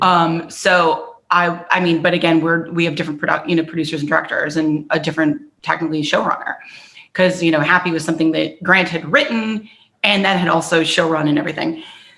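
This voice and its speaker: A woman speaks very fast with an American accent, her pitch fairly low. Her intonation stays fairly even. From US Midwest, southern Wisconsin. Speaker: actor. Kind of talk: interview. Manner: halting.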